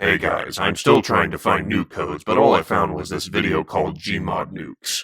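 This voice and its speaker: Using a put-on character voice at a fairly low pitch, a man talks at a moderate pace with hardly any pauses. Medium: solo performance.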